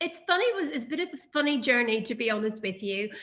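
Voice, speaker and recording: The speaker has a Northern Irish accent and a bright, sharp tone. Delivery is very fast, with lively intonation. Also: woman. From Northern Ireland. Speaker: perfume brand founder. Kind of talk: interview. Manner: hesitant, many fillers.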